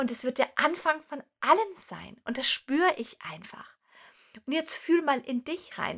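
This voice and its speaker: A woman speaks in a raised, projected voice at a high pitch, with a bright, sharp, animated tone. Her intonation is lively, and the recording is very clean with a silent background. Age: 30s. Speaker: podcast host and coach. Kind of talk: motivational monologue.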